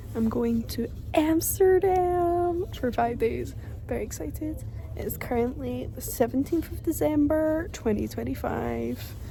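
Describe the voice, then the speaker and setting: A woman's voice at a fairly slow pace, with audible room echo and noticeable background noise. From London, England; raised in Glasgow, Scotland. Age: 20s. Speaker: vlogger. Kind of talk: travel vlog, casual talk to camera. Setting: airport.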